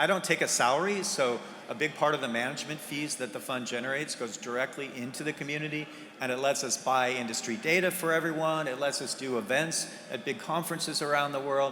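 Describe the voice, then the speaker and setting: Amid noticeable background noise and audible room echo, a man with an American accent talks at a very fast pace, with fairly high pitch and ordinary pitch variation. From US Pacific Northwest (Bellevue, Washington). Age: 60s. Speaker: game industry investor. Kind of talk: conference fireside chat.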